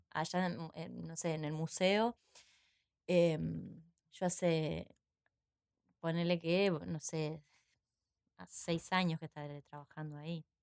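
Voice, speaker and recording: A woman's fairly low voice, very slow with long, frequent pauses, fairly even in intonation but with big swings in loudness, in a dry, close sound with no echo. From Uruguay, San José. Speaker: actress and theatre teacher. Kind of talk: casual interview. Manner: halting, many repetitions.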